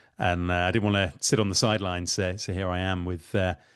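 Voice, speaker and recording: A man with a British accent, at a moderate pace. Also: quiet background. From United Kingdom. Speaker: tech startup founder. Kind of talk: webinar interview.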